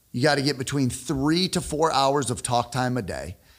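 A normal speaking voice, a man's, fairly high in pitch with an American accent and ordinary pitch variation. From northern Illinois (Rockford, near Chicago). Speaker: sales expert and entrepreneur. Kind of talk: casual interview chat.

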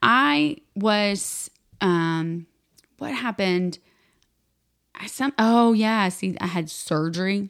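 Talking at a very slow pace, a woman with an American accent leaves long, frequent pauses. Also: medium pitch for a woman, ordinary pitch variation. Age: 30s. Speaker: podcast co-host. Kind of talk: casual chat.

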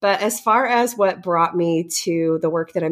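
The voice has an American accent and ordinary pitch variation. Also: woman. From US Midwest, St. Louis area. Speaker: motivational speaker and entrepreneur. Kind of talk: interview conversation.

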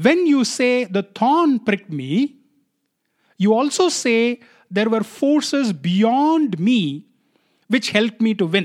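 A man with a Tamil accent speaks at an extremely high pitch for a man, with very wide pitch swings, a very slow pace and long, frequent pauses. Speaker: podcast host. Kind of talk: solo podcast monologue.

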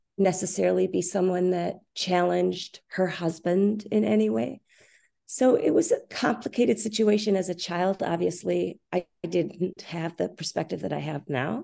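Over a quiet background, a woman talks at a moderate pace. She has an American accent. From Minnesota, US Midwest. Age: 50s. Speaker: author and former dancer. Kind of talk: interview about personal trauma. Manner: gentle, thoughtful.

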